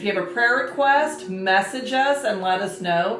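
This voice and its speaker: Audible room echo surrounds a woman's voice. She speaks at medium pitch and a moderate pace. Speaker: marriage and family ministry host. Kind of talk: casual chat.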